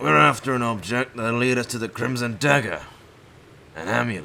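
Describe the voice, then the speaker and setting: In a put-on character voice, a man talks at a fairly quick pace, raspy and medium in pitch. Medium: audio drama. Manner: curt, secretive.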